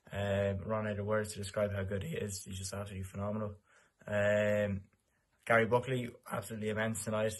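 Someone talks at a very fast clip in an Irish accent, somewhat breathy and with monotone, flat intonation. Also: man. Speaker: football fan. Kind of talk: match review.

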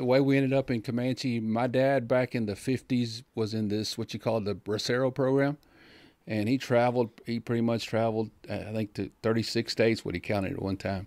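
The speech moves at a moderate pace with fairly even intonation. The sound is dry with no echo, over a quiet background. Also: man. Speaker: podcast guest. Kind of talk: interview answer. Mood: calm, reflective. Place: studio. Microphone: studio mic.

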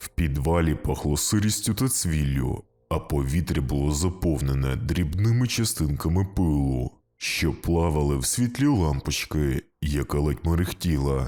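Put-on character voice from a man, very deep and low, delivered at a moderate pace. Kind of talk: spooky bedtime story narration. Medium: read story.

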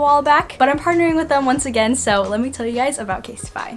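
A woman talks at a very fast pace with light background noise behind her. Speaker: vlogger. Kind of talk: casual vlog chat.

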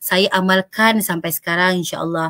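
A woman speaks loudly at a fairly slow pace. Her tone is bright and sharp against a quiet background. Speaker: panel speaker on work-life balance; speaker. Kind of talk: talk show presentation. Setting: online live stream. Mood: warm, encouraging. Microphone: webcam.

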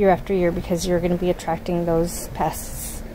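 This woman's voice sits fairly low in pitch. She talks at a moderate pace.

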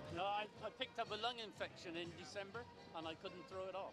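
A man talks at a very fast pace over clear background music. The sound is dry with no echo. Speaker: runner's husband. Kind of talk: interview answer. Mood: cheerful, relaxed. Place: street. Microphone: handheld.

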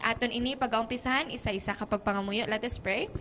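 In a Western Visayan accent, the speaker talks at a fairly quick pace with fairly even intonation. Light background noise can be heard. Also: woman. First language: Hiligaynon (speaking Tagalog). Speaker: program host. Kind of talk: live program hosting. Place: studio. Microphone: handheld.

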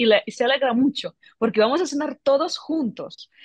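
A woman at a fairly slow pace with lively intonation, in a dry sound with no echo over a quiet background. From Ukraine, Kyiv. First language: Ukrainian or Russian (speaking Spanish). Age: 30s. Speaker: tech entrepreneur; guest. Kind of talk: interview. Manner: halting. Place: office. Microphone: video call.

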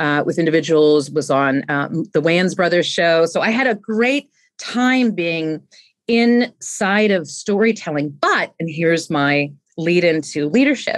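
A woman talks at a fairly slow pace with a fairly low pitch. Her intonation is lively, and the background is quiet. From US West Coast, San Francisco Bay Area; US West Coast. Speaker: leadership expert; podcast guest, leadership coach. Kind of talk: interview. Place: home room. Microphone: studio mic.

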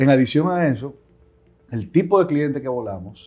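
This man's voice has a dark, mellow tone. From Dominican Republic. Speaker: aviation company CEO and pilot; interviewee. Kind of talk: interview. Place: office. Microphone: lapel.

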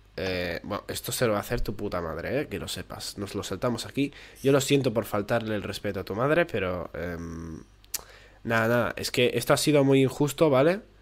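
In a Spanish accent, a man talks fairly quickly at a medium pitch with lively intonation. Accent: Peninsular Spanish. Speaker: gaming YouTuber. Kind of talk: gameplay commentary. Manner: animated.

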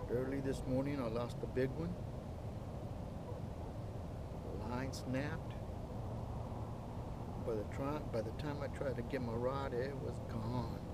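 A man speaks at a fairly slow pace with long, frequent pauses. Loud background noise runs under his voice. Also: dry sound with no echo. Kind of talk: casual vlog chat. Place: boat. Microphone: camera far.

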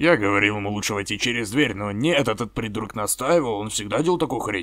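This man puts on a character voice at a medium pitch. He talks at a very fast pace. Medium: fan dub. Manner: crude, sarcastic.

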